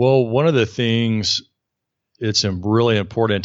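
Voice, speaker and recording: The speaker has a Southern US accent. The intonation stays fairly even. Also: man. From US South, Alabama. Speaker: burnout coach and author. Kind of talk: interview.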